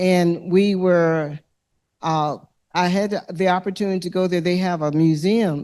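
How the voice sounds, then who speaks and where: A woman's fairly low-pitched voice with a dark, mellow tone and an Alabama accent, against a quiet background. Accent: Southern US (Alabama). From US South, Alabama (Lowndes County). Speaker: environmental justice activist. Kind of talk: panel discussion answer. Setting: lecture hall with audience.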